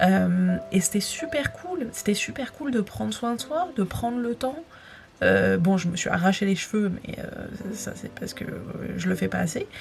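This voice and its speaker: Woman at a fairly slow pace over noticeable background noise. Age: 20s. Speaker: vlogger and aspiring writer. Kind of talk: casual vlog talk to camera. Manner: hesitant, many fillers.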